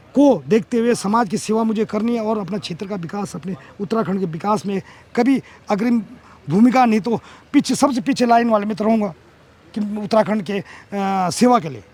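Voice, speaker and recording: Pitched high, the man's speech shows ordinary pitch variation. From Uttarakhand, Garhwal (Devprayag). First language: Garhwali (speaking Hindi). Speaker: politician. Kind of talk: interview.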